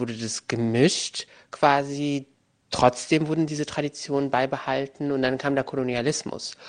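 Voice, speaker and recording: Here a man speaks at a fairly high pitch. His pace is fairly slow and his intonation fairly even. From Germany, Moroccan family. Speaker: journalist and author. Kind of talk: interview. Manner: hesitant, many filler sounds.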